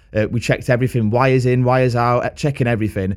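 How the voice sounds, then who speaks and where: A man at medium pitch going at a very fast pace, on a very clean recording with a silent background. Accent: Lancashire. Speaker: podcast host and gigging musician. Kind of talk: casual chat.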